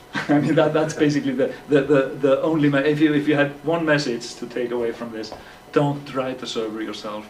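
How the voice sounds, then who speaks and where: A man with a fairly high pitch speaks at a fairly quick pace and with ordinary pitch variation. Noticeable background noise and audible room echo fill the recording. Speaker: software developer. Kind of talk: tech talk. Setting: meetup with audience. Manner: halting, many repetitions.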